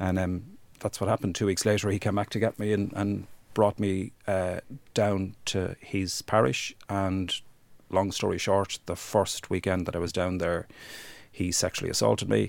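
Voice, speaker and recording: The intonation stays fairly even. The recording is very clean with a silent background. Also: man, very deep, low pitch for a man, moderate pace. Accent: Irish. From Ireland, rural County Wexford. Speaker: human rights campaigner. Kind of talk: interview testimony.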